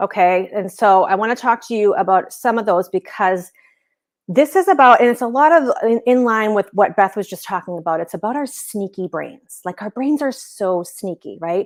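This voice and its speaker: Speaking with an American accent, a woman has a medium pitch, an animated tone and lively intonation at a moderate pace. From Boston area, Massachusetts. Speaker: business coach. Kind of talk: live-stream training. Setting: live video stream at home.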